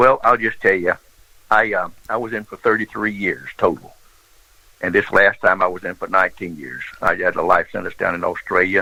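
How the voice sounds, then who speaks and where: A man with a Southern US accent talks at a fairly quick pace. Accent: Southern US (Georgia). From US South, Georgia. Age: 70s. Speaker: former smuggler and pilot. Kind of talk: interview storytelling.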